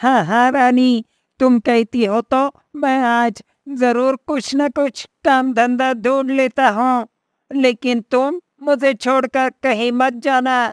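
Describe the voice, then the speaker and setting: A woman puts on a cartoonish character voice pitched high. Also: fairly slow pace. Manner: eager, wheedling.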